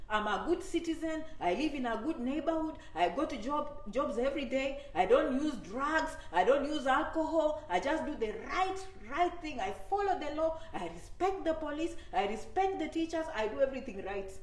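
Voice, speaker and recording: A woman's high, animated voice at a moderate pace with very wide pitch swings, plus noticeable background noise and audible room echo. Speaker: immigration advice YouTuber. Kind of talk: live stream talk to viewers. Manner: animated, repetitive conversational.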